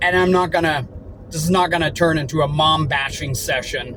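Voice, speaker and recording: A fairly high-pitched man at a moderate pace, with noticeable background noise. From Germany. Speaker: business owner. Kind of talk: casual vlog monologue. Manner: halting, with repetitions.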